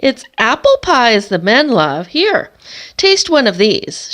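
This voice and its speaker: In a put-on character voice, a woman cackles and hisses at a fairly slow pace, her high pitch swinging very widely. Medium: read story. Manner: hissing, cackling.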